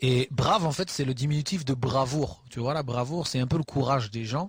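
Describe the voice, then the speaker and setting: This man's voice sits at a medium pitch and is somewhat breathy. He talks at a fairly quick pace with ordinary pitch variation. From Normandy, Le Havre. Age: 30s. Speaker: rapper. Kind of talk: interview. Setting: backstage dressing room. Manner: halting.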